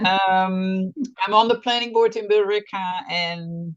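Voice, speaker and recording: A woman speaks at a medium pitch with a Dutch accent. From Netherlands. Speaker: planning board member. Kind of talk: meeting introduction.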